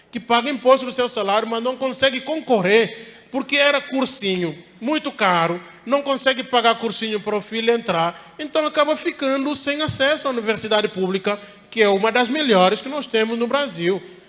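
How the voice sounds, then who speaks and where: A man speaks at a moderate pace with an extremely high pitch. Noticeable background noise runs under his voice. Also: ordinary pitch variation. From Guinea-Bissau. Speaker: professor. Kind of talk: lecture.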